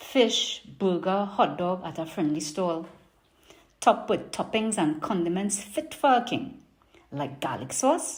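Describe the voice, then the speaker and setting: Somewhat breathy voice with a Trinidadian accent, very wide pitch swings and a fairly slow pace. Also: woman. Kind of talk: poetry reading.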